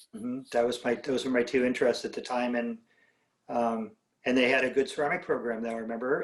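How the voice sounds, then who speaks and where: The speaker has a West Coast American accent and talks at a fairly quick pace. The intonation is monotone and flat. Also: man. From Southern California (Whittier). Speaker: ceramic artist and art professor. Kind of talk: casual interview. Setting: video call.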